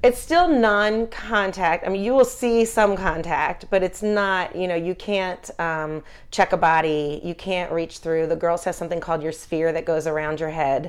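With an American accent and an unremarkable speaking voice, a woman talks at medium pitch and a moderate pace, her pitch varying in an ordinary way on a very clean recording with a silent background. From Philadelphia. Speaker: youth lacrosse program director. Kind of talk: interview.

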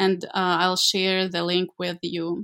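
This recording is very clean, and the background is silent. Her speech comes at a very slow pace. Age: 20s. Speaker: project development manager. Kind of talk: interview. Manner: halting, many fillers.

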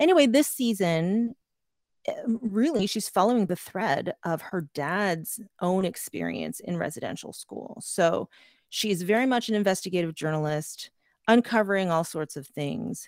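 A woman with a Canadian accent and an ordinary speaking voice, medium in pitch, at a moderate pace with lively intonation. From Canada. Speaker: podcast producer. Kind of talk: workshop presentation. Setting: video call.

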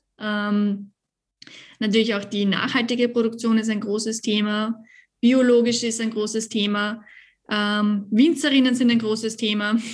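A woman speaks at a fairly slow pace with a fairly high pitch and a somewhat breathy voice. Her intonation is monotone and flat, and the recording is very clean with a silent background. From Lower Austria. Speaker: winemaker. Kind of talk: casual interview.

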